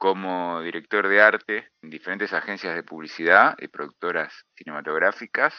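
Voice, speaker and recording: Delivered fairly slowly, the speech shows ordinary pitch variation. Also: man. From Argentina, Buenos Aires area (Hurlingham). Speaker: comics writer and cartoonist. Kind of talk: interview.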